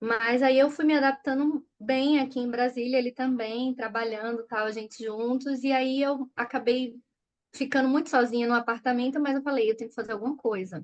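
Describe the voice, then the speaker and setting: A woman's high voice in a Recife accent, moderate in pace with fairly even intonation, against a quiet background. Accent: Recife (Pernambuco). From Brazil, Recife (Pernambuco). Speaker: children's author and educator. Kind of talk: interview conversation.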